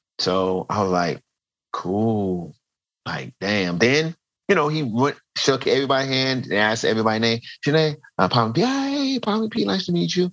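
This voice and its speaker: A man with an American accent speaks at a moderate pace in a medium pitch, his voice swinging very widely up and down. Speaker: street dancer. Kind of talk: casual chat.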